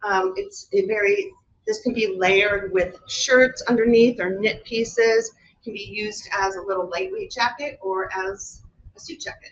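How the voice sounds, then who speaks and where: A woman with a normal speaking voice, fairly high pitch, ordinary pitch variation, moderate pace and big swings in loudness. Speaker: fashion designer. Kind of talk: product presentation. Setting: live webinar.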